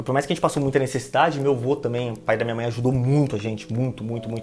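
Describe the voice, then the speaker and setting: A man's words come out very fast. His voice sits at a medium pitch, with fairly even intonation. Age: 20s. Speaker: planning manager. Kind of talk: casual interview chat.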